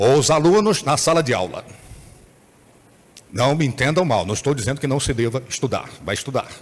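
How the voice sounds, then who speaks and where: With vocal fry and lively intonation, the speaker moves at a fairly quick pace. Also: man. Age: 60s. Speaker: bishop. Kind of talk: sermon. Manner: animated.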